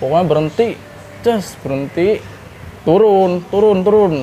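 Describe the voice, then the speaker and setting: The speaker has a Jakarta accent and a fairly quick pace. There is light background noise. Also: man. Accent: Jakarta Betawi-style colloquial Indonesian. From Jakarta, Indonesia. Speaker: former vocational school student telling brawl stories. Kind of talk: casual storytelling interview. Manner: animated. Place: cafe.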